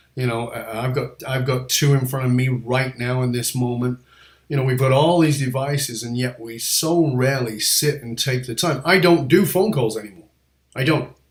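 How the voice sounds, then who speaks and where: This man's voice is somewhat breathy. He talks at a medium pitch with ordinary pitch variation. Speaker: podcast host. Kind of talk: interview. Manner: fast; animated.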